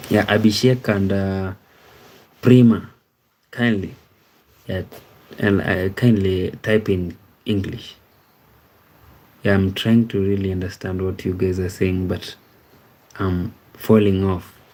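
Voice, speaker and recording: A man with a dark, mellow tone and fairly low pitch speaks in a monotone, flat way. His pace is very slow, with long, frequent pauses. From Kenya. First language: Ekegusii. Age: 30s. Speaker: live streamer. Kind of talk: live stream chat reading. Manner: hesitant, many fillers.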